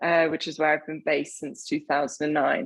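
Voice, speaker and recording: A fairly low-pitched woman's voice with an English accent. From southern England, Hampshire. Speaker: wine writer. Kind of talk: interview.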